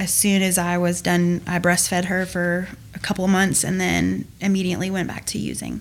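A woman with a Southern US accent speaks in a fairly low, flat monotone. Noticeable background noise can be heard. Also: moderate pace. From US South, Georgia. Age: 20s. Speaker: recovering addict. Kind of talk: testimony.

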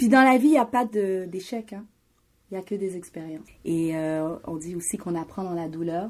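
A woman with an unremarkable speaking voice and medium pitch talks at a moderate pace with lively intonation, on a very clean recording with a silent background. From Montreal, Quebec (Haitian family). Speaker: graphic designer and media host. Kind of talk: interview. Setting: in her shop studio.

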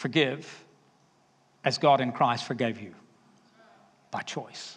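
Very slow speech from a man with an American accent, medium in pitch, with fairly even intonation. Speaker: preacher. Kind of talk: sermon.

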